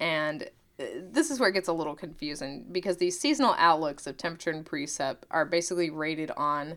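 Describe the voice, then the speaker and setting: With an American accent and a normal speaking voice, a woman talks at a fairly low pitch with lively intonation. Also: very clean recording, silent background. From Oklahoma. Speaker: podcast co-host, meteorologist. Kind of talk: casual educational chat.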